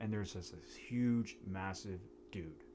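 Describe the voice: A man talks at a fairly low pitch. His pace is fairly slow, with ordinary pitch variation.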